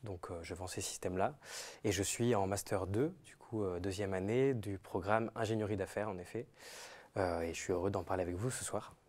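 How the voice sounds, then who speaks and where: Using an unremarkable speaking voice, a man talks at a moderate pace with ordinary pitch variation and big swings in loudness. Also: fairly low pitch for a man. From southern France. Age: 20s. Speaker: MBA student. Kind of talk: live webinar interview. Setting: live stream.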